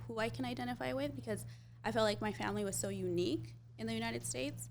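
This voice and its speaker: Speaking at a very fast pace, the voice carries audible room echo. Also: woman. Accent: Spanish. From Jalisco, Mexico; raised in the US from age 5. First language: Spanish. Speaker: beauty brand founder. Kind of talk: casual interview.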